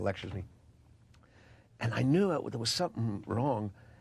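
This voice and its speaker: A man speaks with a New York accent at a fairly quick pace. His intonation is lively. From Queens, New York. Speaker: actor. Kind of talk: interview answer.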